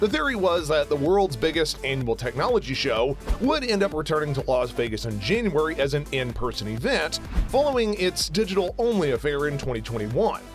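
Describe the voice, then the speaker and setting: Music can be heard behind the speaker. He is a man moving at a fairly quick pace. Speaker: voiceover artist. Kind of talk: tech video narration.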